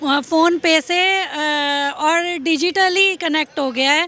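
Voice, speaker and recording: This woman's pitch varies in an ordinary way as noticeable background noise continues. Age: 40s. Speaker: interviewee at street interview. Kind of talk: political vox-pop interview. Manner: animated.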